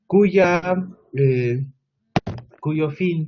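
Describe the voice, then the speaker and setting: A man's voice is somewhat breathy, his intonation fairly even. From Mexico, Oaxaca, Sierra Mixe (Ayuujk people). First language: Mixe (Ayuujk) (speaking Spanish). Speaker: education researcher. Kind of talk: conference presentation. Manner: hesitant, with frequent filler sounds.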